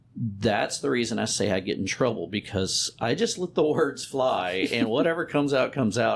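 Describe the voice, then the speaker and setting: A man with an American accent, very wide pitch swings and a fairly quick pace, over noticeable background noise. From Texas, Beaumont area. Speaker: insurance agent and business owner. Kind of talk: interview conversation. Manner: halting, occasionally stuck on words.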